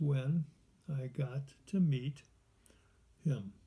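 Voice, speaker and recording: Slow and somewhat breathy, a man with an American accent speaks at a very slow pace and fairly high pitch. His tone is dark and mellow, with ordinary pitch variation. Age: 80s+. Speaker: adult student writer. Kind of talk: reading aloud own writing. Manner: halting.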